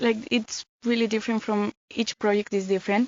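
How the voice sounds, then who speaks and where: A woman with a Spanish accent speaks at a fairly high pitch. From Spain, Mallorca. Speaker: volunteer. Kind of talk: casual chat.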